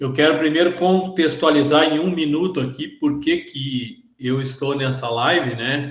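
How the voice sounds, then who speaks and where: Somewhat breathy, a man with a Bahian accent talks at a fairly slow pace with hardly any pauses, his fairly high pitch showing ordinary variation. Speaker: procurement worker at charities, participant. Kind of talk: online panel discussion. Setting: live video call.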